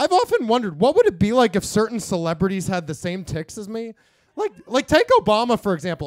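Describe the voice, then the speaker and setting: A squeaky voice at a fairly quick pace swings very widely in pitch, with a dry, close sound and no echo. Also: man. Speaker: stand-up comedian. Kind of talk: stand-up. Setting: stage with audience. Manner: vocal tics from Tourette's.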